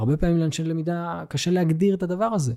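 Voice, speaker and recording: On a very clean recording with a silent background, a man speaks at a fairly quick pace in a dark, mellow tone with ordinary pitch variation. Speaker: learning and development manager. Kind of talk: interview.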